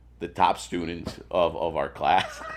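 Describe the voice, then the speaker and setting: Against noticeable background noise, a man talks at a very slow pace in a Spanish accent. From Venezuela, moved to US around age 10-11. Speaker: sales executive. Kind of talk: casual chat. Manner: halting, many repetitions and fillers.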